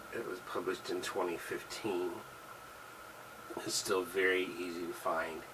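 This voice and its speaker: Noticeable background noise and audible room echo around a man's moderately paced speech, broken by long, frequent pauses. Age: 60s. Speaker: author and gun video vlogger. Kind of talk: casual monologue. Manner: halting, many fillers.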